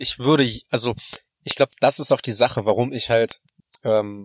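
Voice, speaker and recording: A man with a normal speaking voice, medium pitch and fairly even intonation, at a moderate pace, dry and close with no echo. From Germany (moved there 1993 as a child). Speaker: podcast co-host. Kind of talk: casual chat. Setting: in a parked car.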